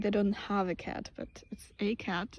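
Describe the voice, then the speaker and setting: Speaking at a very slow pace with a somewhat breathy quality and fairly even intonation, this voice sits in a very clean recording against a silent background. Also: woman. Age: 20s. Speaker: vlogger. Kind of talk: casual vlog monologue. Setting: outdoors in fields. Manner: hesitant, many fillers and restarts.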